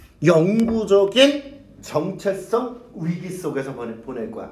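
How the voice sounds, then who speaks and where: An animated man speaks with very wide pitch swings, and audible room echo surrounds his voice. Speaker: English teacher. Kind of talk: lecture. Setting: classroom with students.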